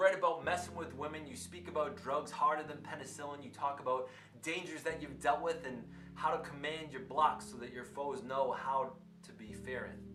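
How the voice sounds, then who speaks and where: With music in the background, the voice moves at a moderate pace, its intonation lively and its loudness swinging widely. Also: man, fairly high pitch for a man. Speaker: teacher; spoken word poet. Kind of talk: spoken word poetry performance.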